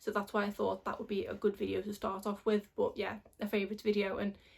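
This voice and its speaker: At a very fast pace, a woman speaks in a fairly high, somewhat breathy voice. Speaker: beauty vlogger. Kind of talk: casual vlog talk.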